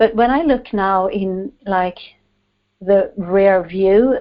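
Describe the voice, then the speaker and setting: A woman with a Swedish accent speaks at a very slow pace with ordinary pitch variation. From Sweden. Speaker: author and coach. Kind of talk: interview.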